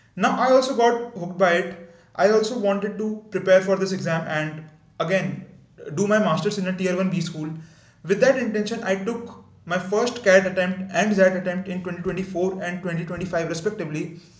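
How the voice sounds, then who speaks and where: A man talks at a fairly quick pace with a high voice. His intonation stays fairly even, and some room echo can be heard. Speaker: YouTuber. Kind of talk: unscripted video introduction. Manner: halting, stuttering at times.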